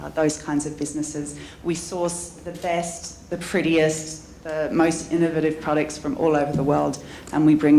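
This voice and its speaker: A woman with an Australian accent speaks at a very deep, low pitch in a monotone, flat intonation. Audible room echo and noticeable background noise surround her voice. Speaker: entrepreneur and business coach. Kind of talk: conference panel talk.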